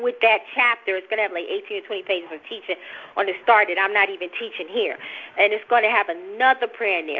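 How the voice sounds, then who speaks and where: Woman speaking very fast in a New Jersey accent, fairly high in pitch, with ordinary pitch variation. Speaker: religious teacher. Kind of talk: informal preaching. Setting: recorded teaching session. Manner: fast talker.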